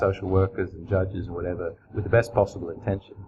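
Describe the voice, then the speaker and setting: Fairly low for a man, his voice moves at a fairly quick pace. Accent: Australian. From Australia (country towns). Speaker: crime novelist. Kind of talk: interview. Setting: writers festival.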